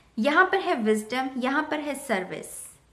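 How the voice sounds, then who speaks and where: A woman speaks in a raised, projected voice with a bright, sharp tone. Her pitch is high and swings very widely. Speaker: tarot reader. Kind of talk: tarot reading to camera.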